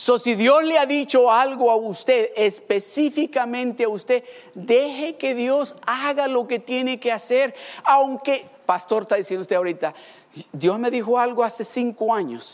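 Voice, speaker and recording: Noticeable background noise fills the recording. The delivery is fairly slow. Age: 50s. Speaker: pastor. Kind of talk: sermon.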